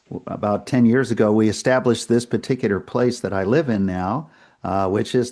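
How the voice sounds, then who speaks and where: Over a quiet background, a voice with a dark, mellow tone and an American accent moves at a fairly quick pace. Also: man. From New England, US (Worcester, Massachusetts). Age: 70s. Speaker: retired priest. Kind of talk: interview conversation.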